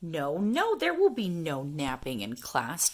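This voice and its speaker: A woman puts on a character voice, sing-song and fairly low-pitched. She speaks at a fairly slow pace. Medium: read story. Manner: chirpy, lively, sing-song.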